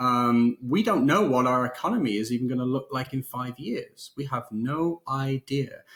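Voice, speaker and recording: There is noticeable background noise. Through it comes a man's voice at medium pitch. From northern England, near Liverpool. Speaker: podcast co-host. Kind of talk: casual chat.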